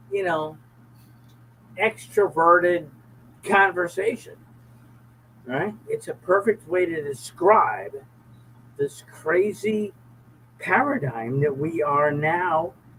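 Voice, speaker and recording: A man's lively intonation rises and falls as he speaks very slowly over noticeable background noise. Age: 70s. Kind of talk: casual chat. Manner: repetitive, emphatic.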